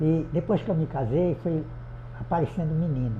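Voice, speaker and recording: This man has a dark, mellow tone and fairly high pitch with vocal fry. His pitch varies in an ordinary way, and room echo is audible. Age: 80s+. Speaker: adult education student. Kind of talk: interview testimony.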